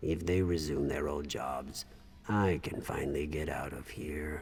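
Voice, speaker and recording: A man's put-on character voice, very deep and low, with a weary tone at a moderate pace over clear background noise. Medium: video game.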